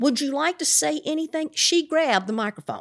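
At a fairly quick pace, a woman speaks with lively intonation on a very clean recording with a silent background and a dry, close sound with no echo. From Appalachia, eastern Kentucky. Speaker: Appalachian storyteller and teaching artist. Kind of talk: casual interview.

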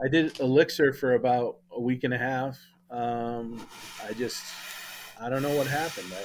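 Against noticeable background noise, a man at medium pitch speaks at a moderate pace with fairly even intonation and long, frequent pauses. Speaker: new co-host, web developer. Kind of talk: casual banter podcast chat.

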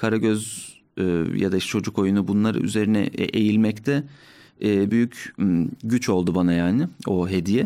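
On a very clean recording with a silent background, a man speaks in a dark, mellow tone at a fairly low pitch. His pace is moderate, his loudness very even, and his pitch variation ordinary. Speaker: musician and stand-up comedian. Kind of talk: casual chat. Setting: studio.

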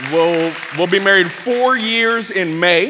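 Crowd noise fills the background as a man with an American accent talks in an animated tone. His pitch varies in an ordinary way. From US West Coast, Bay Area California. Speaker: pastor. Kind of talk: sermon. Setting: church stage with audience.

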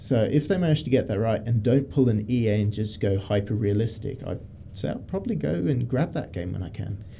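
The man's voice is somewhat breathy and fairly low in pitch. It carries a dark, mellow tone. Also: fairly quick pace. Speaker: radio host. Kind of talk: casual chat.

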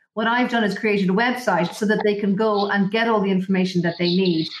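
A woman talks at a very fast pace with an Irish accent. Her voice is somewhat breathy. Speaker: estate agent. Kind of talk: interview. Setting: remote recording, possible connection issues.

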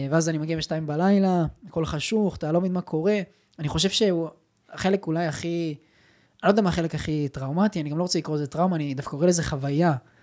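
This man talks at a very fast pace. His pitch is high, with fairly even intonation. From Israel, Petah Tikva. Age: 20s. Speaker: digital entrepreneur. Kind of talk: casual interview.

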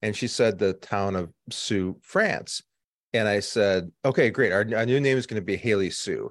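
Against a quiet background, a man with a normal speaking voice talks at a moderate pace, his pitch fairly low with ordinary pitch variation. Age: 50s. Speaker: agency CEO. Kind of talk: interview.

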